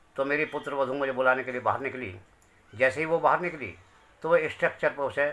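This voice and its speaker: Noticeable background noise accompanies a man speaking at medium pitch. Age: 60s. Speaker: bereaved father. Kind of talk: testimony.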